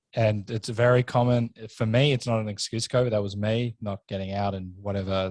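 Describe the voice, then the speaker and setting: Here a man speaks with an Australian accent at a fairly quick pace. His pitch is fairly low, and the sound is dry and close with no echo. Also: quiet background. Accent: thick Australian. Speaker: podcast host. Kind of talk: casual chat. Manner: animated.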